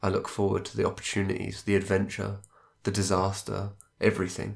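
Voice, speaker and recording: A man with a fairly low pitch and vocal fry talks at a fairly quick pace. The recording is very clean, with a silent background. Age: 20s. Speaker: solo podcast host. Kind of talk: reflective monologue.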